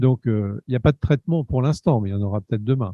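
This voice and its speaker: The sound is dry and close with no echo, and the man's tone is dark and mellow. He is somewhat breathy, with ordinary pitch variation. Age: 60s. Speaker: medical panelist. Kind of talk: panel debate.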